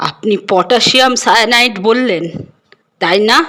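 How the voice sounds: The reading sounds natural, with typical pitch movement and little sound in the background.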